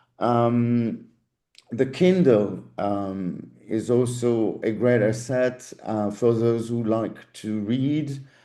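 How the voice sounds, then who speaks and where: A man speaks very slowly at a medium pitch, his tone dark and mellow, with audible echo in the room. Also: ordinary pitch variation. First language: German. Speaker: language school teaching director. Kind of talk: info session Q&A. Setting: video call.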